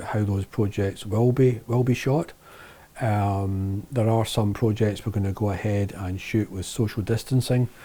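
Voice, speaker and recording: A man speaks with a Lanarkshire accent. His intonation stays fairly even. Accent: Lanarkshire Scottish. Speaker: video producer and author. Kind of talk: casual vlog monologue. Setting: office shed. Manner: hesitant with fillers.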